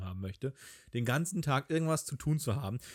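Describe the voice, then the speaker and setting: In a dry, close recording with no echo and a silent, very clean background, a man talks at a medium pitch with lively intonation. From Hamburg, northern Germany. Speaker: podcast co-host. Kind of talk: casual chat.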